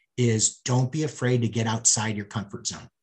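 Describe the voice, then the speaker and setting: A somewhat breathy man talks with an American accent. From US Midwest, St. Louis. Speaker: sports business executive. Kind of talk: interview. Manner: repeats words, hesitant starts.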